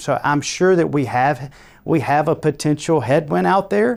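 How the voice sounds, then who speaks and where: Speaking at a moderate pace with lively intonation, a man with a Georgia accent is heard in a very clean recording with a silent background. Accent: Georgia Southern. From Georgia, US South. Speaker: construction company co-founder. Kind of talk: interview.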